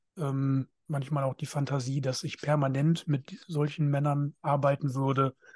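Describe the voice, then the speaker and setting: A man's somewhat breathy, fairly high-pitched voice in a monotone, flat intonation at a fairly slow pace, dry and close with no echo against a quiet background. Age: 30s. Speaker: podcast co-host, men's counselor. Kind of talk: casual chat.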